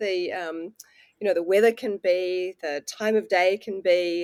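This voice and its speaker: With a New Zealand accent, a woman talks at a medium pitch and a moderate pace. The recording is very clean with a silent background and a dry, close sound with no echo. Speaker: water researcher and author. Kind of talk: casual interview.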